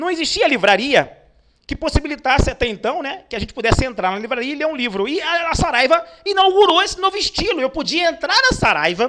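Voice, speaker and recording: A man in a raised, projected voice speaks at a very fast pace, his extremely high pitch making very wide swings. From Brazil, Pernambuco (Northeast), raised in Rio de Janeiro. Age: 40s. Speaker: motivational speaker. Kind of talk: online lecture. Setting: online webinar.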